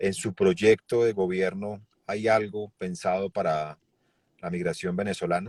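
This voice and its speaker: With a normal speaking voice, this man talks at a fairly slow pace in a fairly low pitch with fairly even intonation, the sound dry and close with no echo. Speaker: TV show host. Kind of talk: interview.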